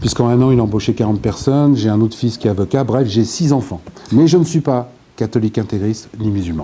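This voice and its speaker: A man talks at a very fast pace and medium pitch with ordinary pitch variation over noticeable background noise. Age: 60s. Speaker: author and former local politician. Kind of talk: interview.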